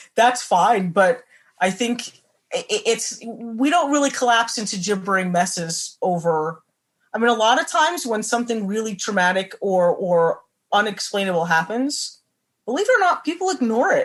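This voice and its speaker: A woman with an American accent, a fairly high pitch and very wide pitch swings, against a quiet background. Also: moderate pace. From New Jersey. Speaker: horror writer. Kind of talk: interview answer.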